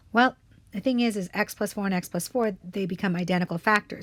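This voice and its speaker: Somewhat breathy, a woman speaks at a very fast pace in a dry, close sound with no echo, on a very clean recording with a silent background. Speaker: math teacher. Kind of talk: tutorial.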